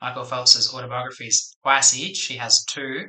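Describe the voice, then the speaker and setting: A man speaks quietly at a fairly slow pace. His medium-pitched voice has a bright, sharp tone. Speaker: English teacher. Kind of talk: casual talk to camera. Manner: quiet, subdued.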